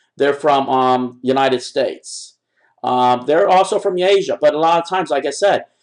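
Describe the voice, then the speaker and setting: A man's fairly high-pitched voice with ordinary pitch variation, against a quiet background. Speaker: internet marketer. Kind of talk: tutorial. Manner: fast; halting.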